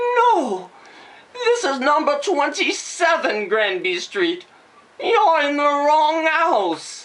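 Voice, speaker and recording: In a put-on character voice, a female-sounding speaker goes very slowly at a high pitch with very wide pitch swings. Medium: read story.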